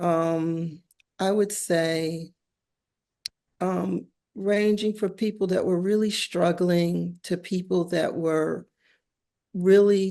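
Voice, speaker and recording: Very slow and monotone, a woman with an American accent speaks in a fairly low, dark, mellow voice with flat intonation. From US, West Philadelphia. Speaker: visual artist and teacher. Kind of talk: casual interview conversation. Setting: artist's studio.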